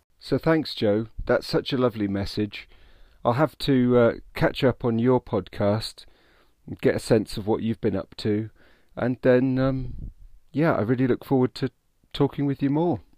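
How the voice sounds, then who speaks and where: A man with a British accent speaks at a fairly slow pace and medium pitch, with a dark, mellow tone and ordinary pitch variation, on a very clean recording with a silent background. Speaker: podcast host.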